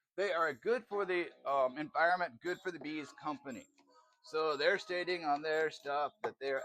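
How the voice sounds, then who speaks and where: A man speaks with music in the background. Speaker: cooking vlogger. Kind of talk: casual cooking vlog. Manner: animated.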